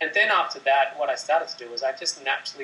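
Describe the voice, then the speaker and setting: With an Australian accent, this man delivers his words fairly quickly. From Sydney, Australia. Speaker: meditation teacher. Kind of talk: interview answer, explanatory talk about meditation.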